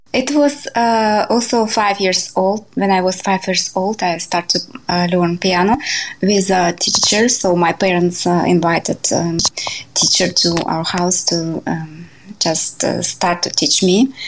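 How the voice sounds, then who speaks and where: Against noticeable background noise, a woman with a Russian accent speaks at a medium pitch with ordinary variation and very even loudness. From Siberia, Russia. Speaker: jazz pianist and composer. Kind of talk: interview. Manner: halting.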